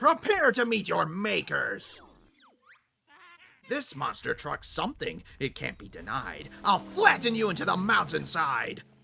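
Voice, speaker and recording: This voice is a put-on character voice. It moves at a fairly slow speed. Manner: very overdramatic, theatrical.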